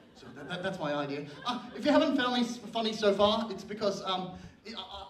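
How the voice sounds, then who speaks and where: A man talks at a fairly quick pace in a room with audible echo and noticeable background noise. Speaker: stand-up comedian. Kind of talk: stand-up. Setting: stage with audience. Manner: halting.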